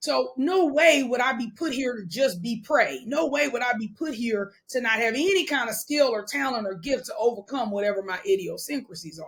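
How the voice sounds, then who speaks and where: Delivered at a moderate pace with hardly any pauses, the speech has an animated tone. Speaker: wealth coach. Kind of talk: podcast interview. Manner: loud.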